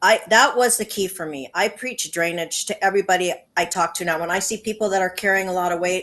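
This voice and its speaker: A woman at a medium pitch, with an ordinary speaking voice and ordinary pitch variation. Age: 60s. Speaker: patient sharing testimony. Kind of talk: testimony.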